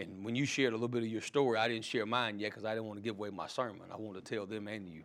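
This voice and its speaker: Very fast and with hardly any pauses, a man speaks in a fairly low voice with fairly even intonation. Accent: Mississippi. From Mississippi, US South. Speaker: pastor and seminary dean. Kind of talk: sermon. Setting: college chapel.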